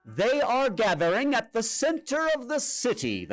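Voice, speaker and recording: At a moderate speed, a man puts on a character voice pitched extremely high. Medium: read story. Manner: calm, assured.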